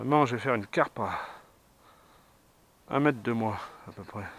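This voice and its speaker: His voice sits at a medium pitch with ordinary pitch variation. The man keeps a moderate pace. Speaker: carp angler filming his fishing. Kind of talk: on-the-spot fishing commentary. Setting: outdoors at a pond. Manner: enthusiastic, repetitive; soft-spoken, quiet to not scare fish.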